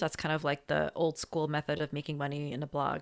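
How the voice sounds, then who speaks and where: A woman with an American accent sounds animated in a very deep, low voice with vocal fry, in a very clean recording with a silent background. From New Jersey, US. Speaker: dermatologist and money coach. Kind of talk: interview conversation. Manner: animated, laughing.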